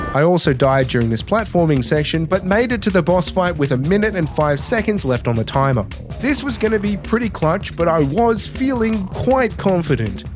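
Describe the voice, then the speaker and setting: Over music in the background, a man speaks at a high pitch and a moderate pace. His voice makes very wide pitch swings. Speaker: trophy hunter, gaming video creator. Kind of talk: scripted gameplay voice-over narration.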